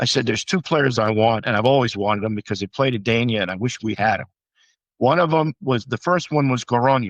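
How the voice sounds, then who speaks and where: Speaking very fast against a quiet background, a man with a medium-pitched voice and ordinary pitch variation sounds dry and close, with no echo. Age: 70s. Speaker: former jai-alai fronton executive. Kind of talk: interview. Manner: halting.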